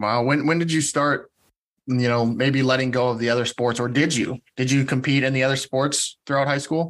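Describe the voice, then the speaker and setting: Against a quiet background, a man with a plain, everyday voice speaks at medium pitch and a moderate pace, with very even loudness and fairly even intonation. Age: 30s. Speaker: podcast host. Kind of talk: casual interview chat.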